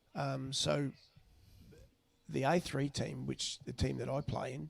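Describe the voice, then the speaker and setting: A man with an Australian accent speaks at a fairly slow pace. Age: 60s. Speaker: club cricketer. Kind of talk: casual chat.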